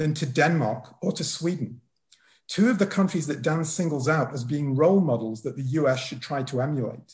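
Speaking at a moderate pace, a man with a Lancashire accent uses a fairly high pitch and lively intonation on a very clean recording with a silent background. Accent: northern English (Lancashire). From northern England, Wigan. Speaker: political economy professor, discussant. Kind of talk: prepared academic response.

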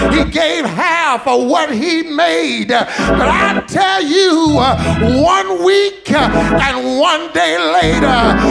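A very slow pace over loud music in the background. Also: man. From Texas, USA. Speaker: pastor. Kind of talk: sermon. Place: church. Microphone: podium.

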